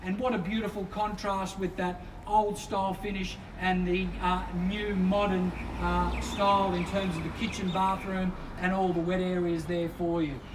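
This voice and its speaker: Against noticeable background noise, a man with a high pitch speaks at a moderate pace in a monotone, flat intonation. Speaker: real estate auctioneer. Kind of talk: property auction patter.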